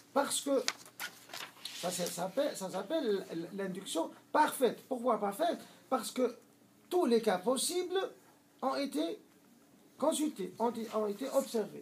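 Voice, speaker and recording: Extremely high pitch from a man, with very wide pitch swings, big swings in loudness, a very slow pace, long, frequent pauses and noticeable background noise. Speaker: Islamic teacher. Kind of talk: lecture. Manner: halting, many hesitations.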